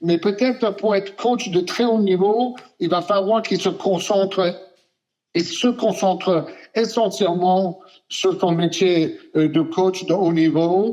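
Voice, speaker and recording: Very slowly and at very even loudness, a man speaks in a dark, mellow tone with a high pitch and fairly even intonation. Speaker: sports journalist. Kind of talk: interview answer. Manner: hesitant, many filler sounds.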